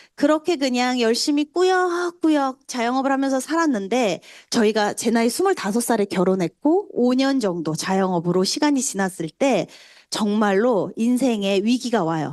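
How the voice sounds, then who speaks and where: A woman with a high pitch and very wide pitch swings speaks at a moderate pace, keeping her loudness very even. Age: 40s. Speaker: network marketing speaker. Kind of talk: motivational testimony talk.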